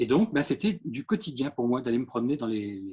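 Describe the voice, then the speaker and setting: A somewhat breathy man speaks at a moderate pace with very wide pitch swings. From France, Orléans. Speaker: ceramic artist. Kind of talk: artist talk with slides. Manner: hesitant, many fillers.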